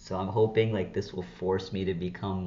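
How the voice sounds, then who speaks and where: A man's very deep, low voice comes across shaky, with audible room echo. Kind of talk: casual unscripted vlog. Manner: halting, with false starts; shaky voice.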